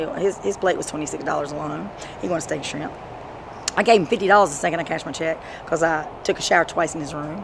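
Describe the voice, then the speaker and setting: Noticeable background noise sits behind a woman's voice. She speaks at a fairly low pitch with ordinary pitch variation. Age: 40s. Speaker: street interviewee recounting drug relapse; interviewee. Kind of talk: street interview. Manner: animated. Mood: angry, venting. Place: street. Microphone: phone near.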